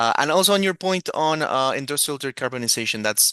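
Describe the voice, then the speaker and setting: With a non-native accent, a man speaks at a fairly quick pace in a bright, sharp tone with lively intonation, the sound dry and close with no echo. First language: not English. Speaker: moderator. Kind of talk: panel moderation. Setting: video call.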